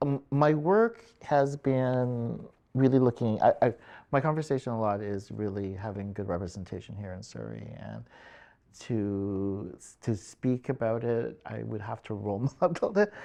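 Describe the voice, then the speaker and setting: Against a quiet background, a man with a dark, mellow tone speaks at a fairly slow pace with ordinary pitch variation. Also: medium pitch for a man. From Philippines. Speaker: community support worker. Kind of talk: interview answer.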